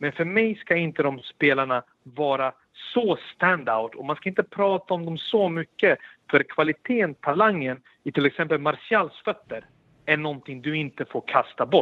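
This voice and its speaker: A man's normal speaking voice, fairly high in pitch, at a moderate pace with lively intonation. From Sweden, Stockholm. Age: 30s. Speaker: former footballer and pundit. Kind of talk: casual chat. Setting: remote link.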